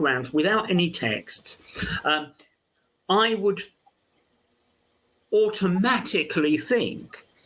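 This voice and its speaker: Lively intonation at a very slow pace, with a London accent. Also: man. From London, England. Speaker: archaeology professor. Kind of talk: interview conversation. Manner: halting, many fillers.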